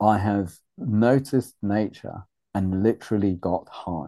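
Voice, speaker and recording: Against a quiet background, a man with a British accent speaks in a dark, mellow tone at a fairly low pitch with ordinary pitch variation. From Uganda, raised in UK. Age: 50s. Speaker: men's group facilitator. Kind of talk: casual chat.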